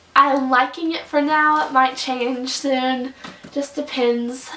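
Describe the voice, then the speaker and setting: The delivery is very slow, with ordinary pitch variation. There is noticeable background noise. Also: woman. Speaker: book reviewer. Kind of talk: casual vlog review. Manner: animated.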